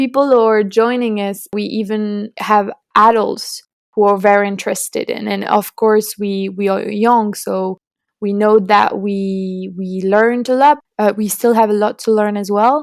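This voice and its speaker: Speaking in a French accent, a woman uses a fairly high pitch and monotone, flat intonation at a fairly slow pace. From France. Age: 20s. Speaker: student climate activist. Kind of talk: podcast interview. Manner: halting.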